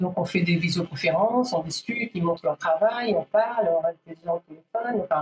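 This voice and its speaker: The woman's pitch varies in an ordinary way as she talks at a moderate tempo. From DR Congo, Kinshasa. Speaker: fashion event founder. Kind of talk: interview. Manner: halting.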